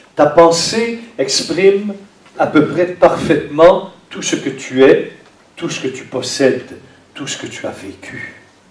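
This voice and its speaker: A high-pitched man at a very slow pace, with big swings in loudness, audible room echo and noticeable background noise. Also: lively intonation. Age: 60s. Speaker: priest. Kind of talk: sermon.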